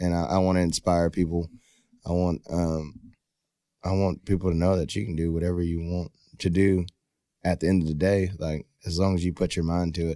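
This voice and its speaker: A man with a Texan accent speaks at a very deep, low pitch in a dark, mellow tone, monotone and flat. His pace is fairly quick despite long, frequent pauses, in a very clean recording with a silent background. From Texas, Rockdale and Baytown. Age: 20s. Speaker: professional bull rider. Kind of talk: casual chat.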